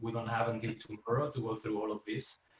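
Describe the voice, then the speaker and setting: The voice is somewhat breathy, with a Spanish accent. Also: man. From Spain. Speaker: UX engineer, guest speaker. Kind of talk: presentation talk. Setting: video call. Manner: halting, many fillers and repeats.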